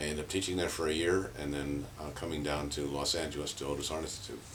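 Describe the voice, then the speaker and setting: With an American accent, a man talks at a fairly quick pace in a very deep, low pitch and fairly even intonation, with audible room echo. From San Francisco, California. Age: 70s. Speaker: painter and performance artist. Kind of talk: interview monologue. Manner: halting, many fillers.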